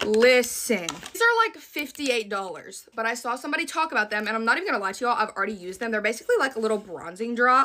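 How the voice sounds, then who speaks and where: A woman's animated, very fast talk in a Southern US accent, fairly high-pitched, with lively intonation and hardly any pauses. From US South. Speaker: beauty content creator. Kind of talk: product haul video. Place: home room. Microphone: phone near.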